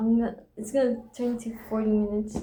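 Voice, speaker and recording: Speaking with a non-native accent, a woman talks at a moderate pace and a fairly high pitch. Noticeable background noise is present. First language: not English. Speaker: vlogger. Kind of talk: reading aloud from own journal; casual monologue. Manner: reflective.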